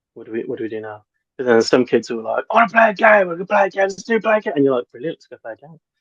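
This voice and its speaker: A man with a British accent talks at a very fast pace, his pitch swinging very widely. The sound is dry and close, with no echo. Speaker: forest school teacher. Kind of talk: interview. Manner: hesitant, many ums.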